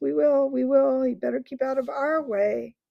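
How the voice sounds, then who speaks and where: It is a put-on character voice, delivered with a growl. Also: woman, high pitch for a woman, moderate pace. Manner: menacing.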